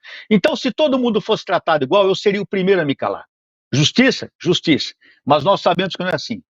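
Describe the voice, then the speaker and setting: An animated man speaks very fast in a high voice, his pitch swinging very widely. The sound is dry and close with no echo, over a quiet background. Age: 60s. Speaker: police officer and politician. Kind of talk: interview.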